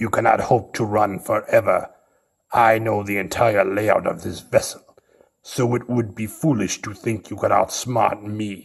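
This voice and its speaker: A man puts on a character voice at a medium pitch. He keeps a moderate pace and fairly even intonation. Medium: audio drama. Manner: cold, measured, condescending.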